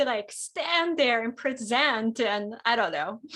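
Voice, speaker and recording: A woman with a Japanese accent at a fairly slow pace. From Japan (Kyoto), moved to Tennessee at twelve. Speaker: pianist. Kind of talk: casual interview chat.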